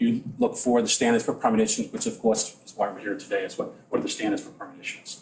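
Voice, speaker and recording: A man with an American accent talks at a very fast pace. Noticeable background noise runs underneath. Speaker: environmental consultant. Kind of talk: public hearing testimony. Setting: town board meeting at podium. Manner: halting, many restarts.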